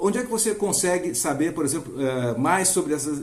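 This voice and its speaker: A man speaks with a Brazilian accent. Room echo is audible. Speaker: finance educator. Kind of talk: tutorial. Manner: fast; hesitant, with fillers.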